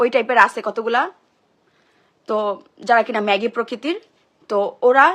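With a fairly high pitch, a woman speaks using ordinary pitch variation. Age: 20s. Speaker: social media personality. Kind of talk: emotional live-stream monologue. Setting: social media live stream.

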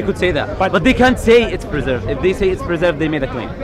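Very wide pitch swings come through a dry recording with no echo and noticeable background noise. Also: man. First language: not English. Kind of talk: heated debate. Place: street.

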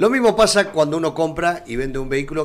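Talking at a fairly quick pace, the man has a fairly high pitch and lively intonation. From Argentina. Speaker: radio and streaming magazine host; radio, streaming magazine host. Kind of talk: live magazine interview. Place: studio. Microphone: studio mic.

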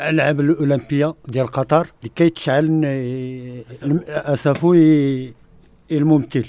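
A dark, mellow tone with fairly even intonation, dry with no echo. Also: man. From Ouarzazate, Morocco; Morocco. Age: 60s. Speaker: film extra. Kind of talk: radio interview. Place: studio.

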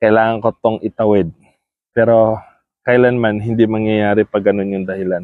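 At a fairly slow pace, a man speaks with a fairly low pitch and a monotone, flat intonation. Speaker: vlogger. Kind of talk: casual vlog talk. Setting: outdoors in a park. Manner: soft-spoken; halting.

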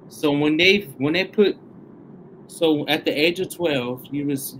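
A man speaks at a fairly slow pace with a Southern US accent and a fairly high pitch. His pitch varies in an ordinary way over light background noise. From Tennessee, US South. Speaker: online show host. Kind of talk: interview. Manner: animated. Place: studio.

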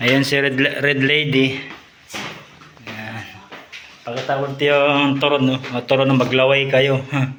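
Monotone, flat intonation at a fairly slow pace with long, frequent pauses, plus audible room echo and noticeable background noise. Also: man, fairly high pitch for a man. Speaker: vlogger, overseas worker in Saudi Arabia on vacation. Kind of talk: casual video tour. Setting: at home.

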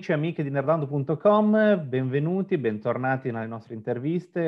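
Lively intonation marks a man's moderate-paced talk in a plain, everyday voice. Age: 40s. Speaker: interviewer, web channel host. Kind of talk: interview.

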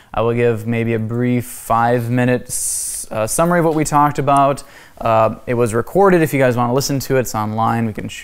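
The speaker is a man talking at a fairly quick pace. His pitch varies in an ordinary way. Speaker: class teacher. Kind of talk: lecture. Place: church.

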